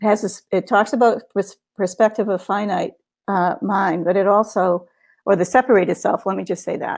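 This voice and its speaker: The speaker is a woman with a medium pitch. She talks at a moderate pace with fairly even intonation. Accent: Boston. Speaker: guest co-host of spiritual book discussion. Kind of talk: casual discussion webinar. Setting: live webinar. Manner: halting, many fillers.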